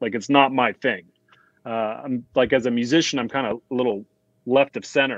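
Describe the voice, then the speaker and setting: A man of medium pitch with a General American accent speaks in a plain, everyday voice at a moderate pace with fairly even intonation, the sound dry and close with no echo. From US (raised in Dubai). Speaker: music composer.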